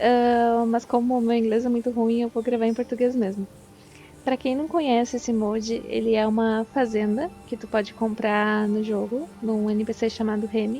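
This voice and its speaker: A woman speaks at a moderate pace in a fairly high pitch with a monotone, flat intonation while music plays in the background. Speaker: video game modder and gameplay YouTuber. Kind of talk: casual tutorial.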